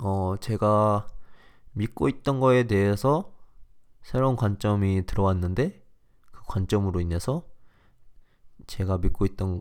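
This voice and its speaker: A man speaks at a fairly low pitch and a fairly slow pace. His tone is animated. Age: 20s. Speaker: podcast host. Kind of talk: casual solo chat. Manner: animated, laughing often.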